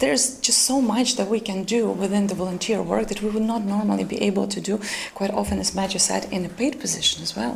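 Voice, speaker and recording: A woman with a Ukrainian accent talks at a very fast pace, at a medium pitch with ordinary pitch variation. Noticeable background noise and audible room echo fill the recording. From Ukraine. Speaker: volunteer project lead. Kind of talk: panel discussion. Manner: hesitant, many fillers.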